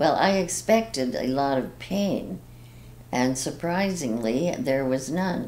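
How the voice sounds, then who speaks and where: A woman's very deep, low voice at a very slow pace. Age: 80s+. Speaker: heart surgery patient. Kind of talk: patient testimonial. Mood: calm, grateful. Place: office.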